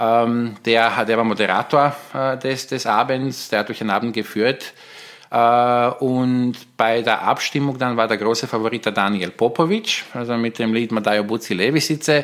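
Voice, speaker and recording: The intonation here is fairly even. The speaker has a Bosnian accent. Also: man, medium pitch for a man, moderate pace. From Bosnia, Tuzla. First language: Bosnian (speaking German). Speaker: polyglot guest. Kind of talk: casual chat.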